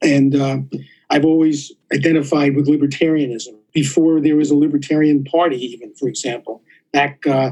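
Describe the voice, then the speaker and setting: With a New York accent, a man talks at a fairly quick pace in a fairly high pitch with monotone, flat intonation. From New York City. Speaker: surgeon and policy scholar. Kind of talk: interview. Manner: halting, many fillers.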